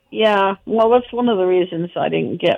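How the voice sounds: A woman speaks with vocal fry and fairly even intonation.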